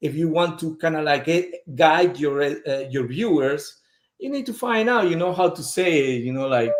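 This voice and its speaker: This man has a fairly high pitch and a strong non-native accent. His intonation is lively. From Peru. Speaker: fragrance brand representative. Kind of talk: casual interview chat.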